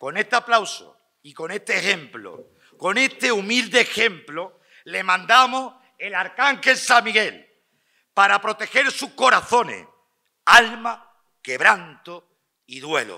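A man speaks in a raised, projected voice, high-pitched with lively intonation and a bright, sharp tone. He talks at a very slow pace over a quiet background. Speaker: pregonero giving festival address. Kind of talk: ceremonial festival address (pregón), formal oratory. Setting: stage with audience.

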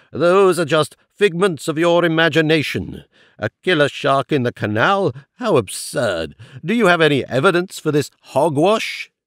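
In a put-on character voice, a man sounds gruff and fairly high-pitched, with lively intonation and a moderate pace, the sound dry and close with no echo on a very clean recording with a silent background. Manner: gruff, dismissive.

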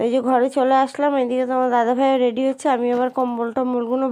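A woman speaks with a high pitch. Her tone is dark and mellow. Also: quiet background. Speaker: vlogger. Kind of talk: vlog narration. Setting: at home.

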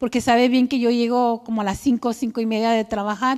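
In a flat monotone, a woman speaks at a high pitch against a quiet background. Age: 50s. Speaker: churchgoer, clinic worker and cancer survivor; speaker. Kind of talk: testimony. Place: church.

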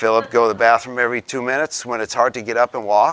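The sound is dry, with no echo. The tone is bright and sharp. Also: man. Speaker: presenter. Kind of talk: lecture. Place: meeting room.

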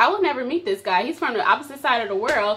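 A woman's raised, projected voice, high in pitch with very wide pitch swings, over light background noise. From US Midwest. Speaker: vlogger. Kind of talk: casual chat. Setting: at home on camera. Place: home room. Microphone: phone near.

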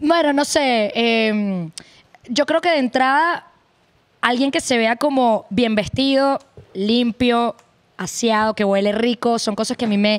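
At a very slow pace, a woman with a Venezuelan accent speaks in a fairly high pitch with ordinary pitch variation against a quiet background. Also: very even loudness. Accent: Venezuelan, kept. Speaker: podcast guest, arepa seller. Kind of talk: casual chat. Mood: relaxed, candid. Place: studio. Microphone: studio mic.

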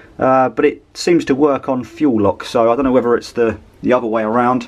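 Music plays in the background as the speech moves at a fairly quick pace. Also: man. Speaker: travel vlogger. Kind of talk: casual vlog chat. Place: home room. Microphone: phone near.

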